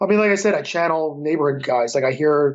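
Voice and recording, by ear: The speech moves at a fast pace. Its pitch variation is ordinary. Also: man, fairly high pitch for a man.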